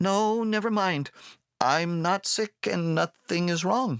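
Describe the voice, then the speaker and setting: A man puts on a character voice at a high pitch, at a fairly slow pace with ordinary pitch variation and very even loudness. The recording is very clean, with a silent background. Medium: read story. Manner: hesitant, reserved.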